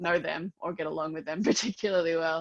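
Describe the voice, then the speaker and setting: The speaker has an Australian accent and talks at a fairly quick pace with ordinary pitch variation. The sound is dry and close, with no echo. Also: woman. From Melbourne, Australia. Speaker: podcast host. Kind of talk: casual chat. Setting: video call.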